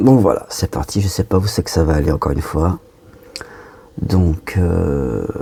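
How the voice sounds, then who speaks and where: A soft-spoken man with a very deep, low pitch, a fairly slow pace, lively intonation, long and frequent pauses, and noticeable background noise. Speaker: medium channeling spirit guides. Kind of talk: channeled spiritual message. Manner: halting.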